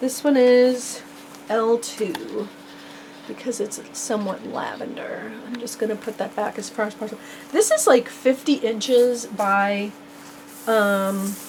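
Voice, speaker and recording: Fairly high-pitched female speech at a fairly slow pace, with big swings in loudness, ordinary pitch variation and noticeable background noise. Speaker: crafter selling handmade journal kits. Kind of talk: product showcase video. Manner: animated.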